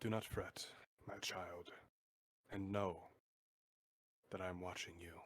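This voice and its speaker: In a put-on character voice, a man delivers a solemn tone at a very deep, low pitch and a fairly slow pace, with long, frequent pauses. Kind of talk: divine oracle speech. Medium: actual play. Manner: solemn, paternal.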